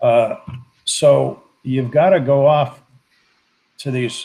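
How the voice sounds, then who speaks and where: A man with a medium pitch talks in a somewhat breathy voice. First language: Spanish. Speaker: political commentator. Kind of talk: casual chat.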